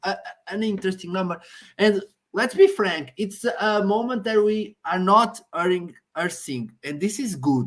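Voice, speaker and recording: A woman with a Portuguese accent speaks at a medium pitch and a fairly slow pace with lively intonation, in a very clean recording with a silent background. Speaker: Eurovision discussion co-host. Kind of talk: casual chat. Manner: halting.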